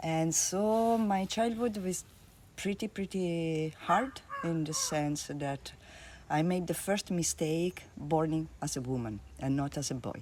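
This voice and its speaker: Lively in intonation, a woman talks at a very slow pace with a fairly low pitch. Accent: Italian. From Italy. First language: Italian. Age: 50s. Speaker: art therapist. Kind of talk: interview. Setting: at her home.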